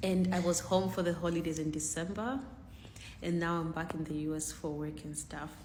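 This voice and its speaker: A woman's very deep, low voice with vocal fry, fairly even intonation and a fairly quick pace, in audible room echo. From Zambia. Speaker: content creator. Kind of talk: casual vlog.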